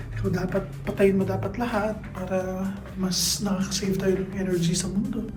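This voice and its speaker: A woman speaks at a fairly slow pace and a medium pitch, with noticeable background noise and audible room echo. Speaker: travel vlogger. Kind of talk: casual vlog narration. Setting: rented room with other guests in the house; riding in a tuk-tuk. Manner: quiet, lowered voice.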